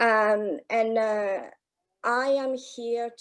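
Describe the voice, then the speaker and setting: A woman with a French accent is heard in a very clean recording against a silent background. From France. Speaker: anti-racism network ambassador. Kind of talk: panel introduction.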